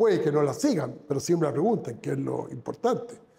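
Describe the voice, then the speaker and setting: Noticeable noise runs through the background. A man's voice carries audible room echo. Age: 70s. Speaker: businessman. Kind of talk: interview. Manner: halting.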